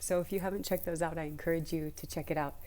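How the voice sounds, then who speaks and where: In a room with audible echo, a woman speaks in a fairly low, dark and mellow voice. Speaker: spiritual content creator. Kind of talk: casual vlog talk about astrology. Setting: library. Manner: quiet, trying not to be loud; animated, chatty.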